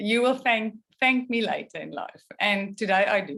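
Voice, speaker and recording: A woman's fairly slow speech, with ordinary pitch variation. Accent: South African. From South Africa. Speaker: photographer. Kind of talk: artist talk. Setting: video call.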